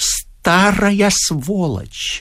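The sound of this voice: A man puts on a character voice, pitched high, with a bright, sharp tone. He speaks at a very slow pace with lively intonation over a very clean recording and a silent background.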